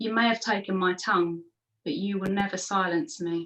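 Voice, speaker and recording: Putting on a raspy character voice, a woman speaks at a medium pitch and a moderate pace. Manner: defiant.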